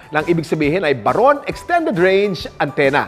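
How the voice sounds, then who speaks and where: A man's pitch rises and falls very widely while music plays behind him. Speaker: TV host presenter. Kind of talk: infomercial product explanation to camera.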